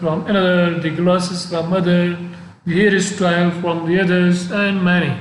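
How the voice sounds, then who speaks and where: Against audible room echo, a man with a non-native accent and a high pitch speaks fairly slowly in a monotone, flat intonation. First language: not English. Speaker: professor. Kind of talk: lecture. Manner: halting.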